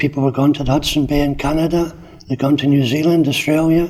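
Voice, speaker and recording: Fairly high male voice, monotone and flat, over noticeable background noise. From Scottish Highlands until age 10, then Corby, England. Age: 70s. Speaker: older resident telling life story. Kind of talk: personal reminiscence interview. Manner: hesitant, with many fillers.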